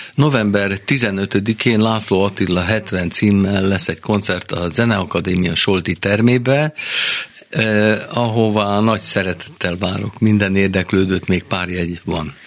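Over noticeable background noise, a man speaks at a very slow pace in a fairly low pitch with ordinary variation. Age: 70s. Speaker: jazz guitarist and composer. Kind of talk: radio interview. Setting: studio.

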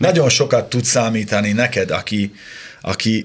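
The pitch of this man's voice is fairly low. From Upper Hungary (Slovakia, Hungarian minority). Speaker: motoring journalist and TV presenter. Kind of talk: casual chat.

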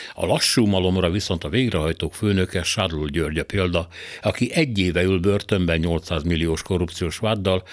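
Very deep and low, a man's voice carries fairly even intonation at a moderate pace. The recording is very clean with a silent background. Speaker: radio commentator. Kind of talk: scripted opinion commentary. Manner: formal.

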